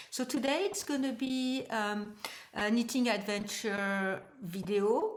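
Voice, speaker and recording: Audible room echo surrounds a woman speaking. She has a French accent and a medium pitch. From France. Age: 60s. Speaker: knitting vlogger. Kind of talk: casual vlog talk. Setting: at home. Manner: halting, many hesitations.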